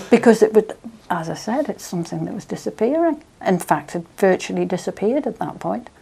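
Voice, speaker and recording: A woman with a Manx accent speaks at a fairly quick pace in a dark, mellow tone with vocal fry. Her medium pitch makes very wide swings. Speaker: interviewee. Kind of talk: oral history interview.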